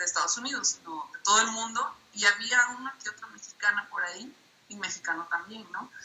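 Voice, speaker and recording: Speaking at a moderate pace, a woman with an unremarkable speaking voice uses a fairly high pitch and lively intonation. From southern Mexico, Minatitlán, Veracruz. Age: 30s. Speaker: comic artist and illustrator. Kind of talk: interview. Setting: call via tablet.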